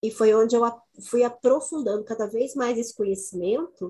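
With ordinary pitch variation and a fairly slow pace, this is a plain, everyday voice. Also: woman. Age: 50s. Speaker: women's cycles educator. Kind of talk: casual chat.

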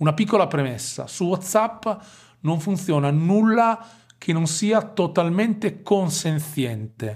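On a very clean recording with a silent background, a man with a Romagnolo accent speaks very slowly, with a high pitch and lively intonation. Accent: Romagnolo Italian with drawn-out S. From Romagna, Italy. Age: 40s. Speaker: digital marketing consultant. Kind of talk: casual interview.

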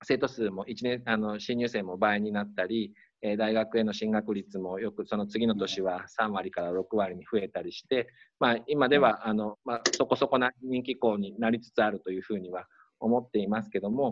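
A man speaks in a normal speaking voice, fairly low in pitch and with fairly even intonation. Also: moderate pace. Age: 40s. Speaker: high school principal. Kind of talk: interview.

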